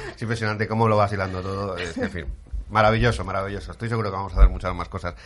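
A man's animated, very fast delivery, fairly low in pitch with vocal fry and ordinary pitch variation. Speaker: radio host. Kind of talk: radio talk show. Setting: studio.

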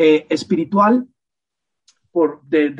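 A man with a fairly high-pitched voice. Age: 50s. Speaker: podcast guest, host's partner. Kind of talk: casual chat. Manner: halting.

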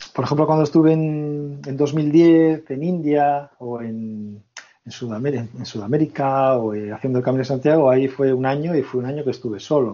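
Moderate pace and ordinary pitch variation. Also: man, fairly high pitch for a man. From Basque Country, Spain. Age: 30s. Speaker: long-term traveller. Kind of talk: casual interview chat. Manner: halting, repeats words.

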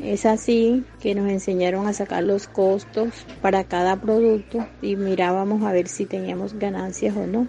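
A woman with a medium pitch speaks at a fairly slow pace, with fairly even intonation and hardly any pauses, over noticeable background noise. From Colombia, Antioquia (Zaragoza). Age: 60s. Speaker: small business owner, baker. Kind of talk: personal testimony.

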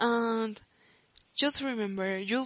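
A woman speaks with a Spanish accent at a fairly slow pace. Her pitch is fairly high, and her intonation is fairly even. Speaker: podcaster. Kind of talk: personal monologue podcast.

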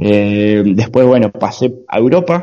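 A man speaks with an Argentine accent. His tone is dark and mellow. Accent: Argentine Spanish (Rioplatense). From Argentina. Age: 20s. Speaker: long-distance cycle traveller. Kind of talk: interview. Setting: video call.

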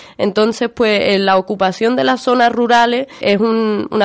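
Against a quiet background, a woman with a plain, everyday voice speaks at a fairly high pitch with ordinary pitch variation. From Spain, Málaga (Andalusia). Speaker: land occupation activist, union member. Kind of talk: radio interview.

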